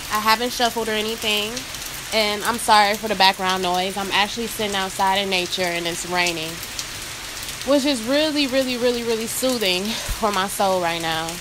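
A woman at a fairly quick pace, ordinary pitch variation, noticeable background noise. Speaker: oracle card reader. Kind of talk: casual spiritual reading talk. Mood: calm, soothed. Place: rain. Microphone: phone near.

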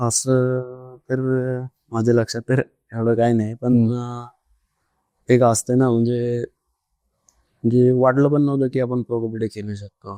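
A soft-spoken man at a medium pitch, dark and mellow in tone, with monotone, flat intonation. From Raigad district, Maharashtra, India. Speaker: professional kabaddi player. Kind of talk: interview answer.

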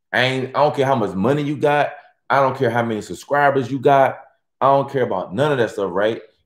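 A man talking at a very fast pace, with ordinary pitch variation, audible room echo and a quiet background. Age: 40s. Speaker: YouTuber hosting a livestream. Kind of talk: casual live stream chat with viewers. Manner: animated. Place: home room.

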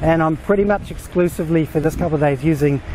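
A man speaks at a fairly quick pace with fairly even intonation, the sound dry with no echo but with noticeable background noise. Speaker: travel vlogger. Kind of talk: casual vlog chat. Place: waterside. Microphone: phone near.

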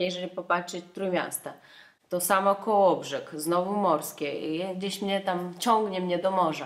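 In a flat monotone, a woman speaks at a fairly slow pace. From Russia. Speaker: dancer. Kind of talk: casual talk to camera. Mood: reflective, candid. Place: home room. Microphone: camera far.

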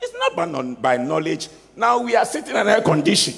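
A man's fairly high, fairly bright voice with vocal fry, very wide pitch swings and a fairly quick pace

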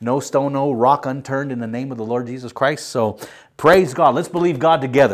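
Against a quiet background, a man speaks at a fairly quick pace with ordinary pitch variation and big swings in loudness. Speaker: pastor. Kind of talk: sermon. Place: studio. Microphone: lapel.

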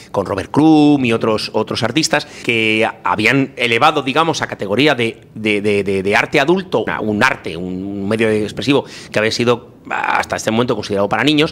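A man talks over noticeable background noise. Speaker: film commentator. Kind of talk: casual film discussion.

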